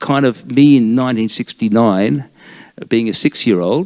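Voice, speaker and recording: At a moderate pace, a man talks in a dry, close sound with no echo. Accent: Australian. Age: 60s. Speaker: author. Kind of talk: author talk.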